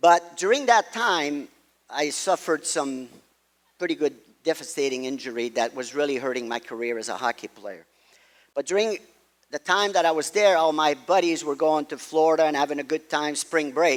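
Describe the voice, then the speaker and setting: The speaker talks at a moderate pace in a Quebec accent. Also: man, fairly high pitch for a man, ordinary pitch variation. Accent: Québécois French-accented English. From Quebec, Montreal. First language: French. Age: 70s. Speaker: golf pro. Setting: stage with audience.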